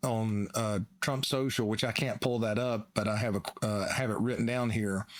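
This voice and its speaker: Speaking in a Southern US accent, a man keeps his intonation fairly even. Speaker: financial analyst. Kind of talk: casual chat.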